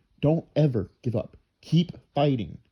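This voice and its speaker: Somewhat breathy, a man's voice comes through with an American accent. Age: 20s. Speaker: vlogger. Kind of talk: personal vlog monologue. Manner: stuttering, halting; repetitive, earnest.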